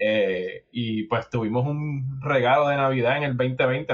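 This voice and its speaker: The man's voice sits at a medium pitch with monotone, flat intonation. He speaks at a fairly slow pace. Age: 40s. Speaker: podcast host. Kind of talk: casual chat. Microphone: distant webcam mic, poor fidelity.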